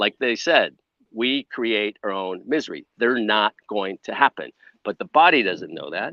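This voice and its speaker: A man with an American accent speaks in an unremarkable speaking voice at a medium pitch and moderate pace, with ordinary pitch variation. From US Midwest, Chicago. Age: 60s. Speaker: wellness entrepreneur, former film crew. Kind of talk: podcast interview.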